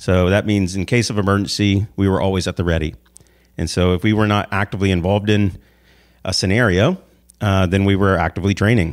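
At a fairly quick pace, a man with a normal speaking voice and an American accent talks at a fairly low pitch in a very clean recording with a silent background. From US South, Savannah, Georgia. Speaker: motivational speaker and author, navy veteran. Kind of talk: interview.

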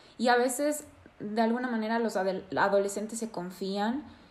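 Here a woman speaks in an unremarkable speaking voice. Her pitch is fairly high and her pace moderate. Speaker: psychotherapist and podcast host. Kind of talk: interview.

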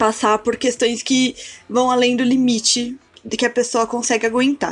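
Talking fairly slowly, a woman uses a high pitch. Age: 20s. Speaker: cultural producer and art historian. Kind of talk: casual chat.

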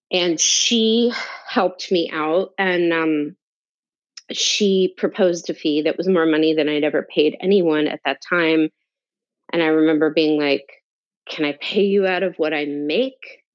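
At a fairly slow pace, a woman with an American accent talks in a plain, everyday voice, fairly low in pitch with ordinary pitch variation. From North New Jersey, US. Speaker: tarot teacher and entrepreneur. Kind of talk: interview, personal life story.

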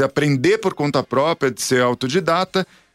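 Over music in the background, a man talks with ordinary pitch variation in a dry, close sound with no echo. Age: 40s. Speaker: radio host. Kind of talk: radio talk show. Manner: halting.

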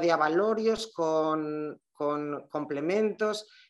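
In a quiet background, a woman talks with ordinary pitch variation. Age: 40s. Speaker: shop owner. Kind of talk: casual interview chat.

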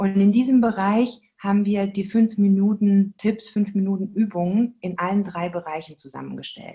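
With hardly any pauses, a woman speaks at a moderate pace in a somewhat breathy, dark, mellow voice at a medium pitch, with fairly even intonation. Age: 40s. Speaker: movement educator for children. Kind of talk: interview.

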